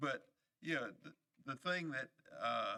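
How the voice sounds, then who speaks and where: A man with a North Carolina accent, in a dry, close sound with no echo. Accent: Southern US (North Carolina). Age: 70s. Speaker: county commissioner. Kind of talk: public meeting remarks. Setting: public meeting room. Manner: halting, many fillers.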